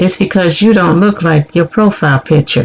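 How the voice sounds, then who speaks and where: This is a put-on character voice. It goes at a moderate speed. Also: man. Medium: read story.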